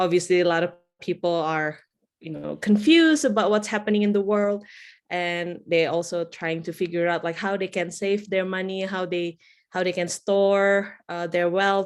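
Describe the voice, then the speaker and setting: A speaker with an Indonesian accent is heard against a quiet background. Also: woman. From Indonesia, Java. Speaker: bitcoin educator. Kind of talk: interview.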